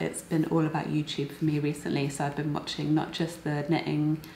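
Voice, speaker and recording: A woman with a British accent speaks in a very deep, low pitch. Noticeable background noise and audible room echo surround her voice. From UK. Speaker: knitting and crochet vlogger and designer. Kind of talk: casual vlog chat.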